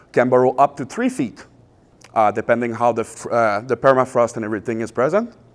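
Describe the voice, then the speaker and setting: The recording is very clean, with a silent background. A man with a Quebec accent talks at a medium pitch with ordinary pitch variation. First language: French. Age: 30s. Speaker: pest and wildlife control business owner. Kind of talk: public presentation. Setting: public event with audience. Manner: hesitant, many filler uhs.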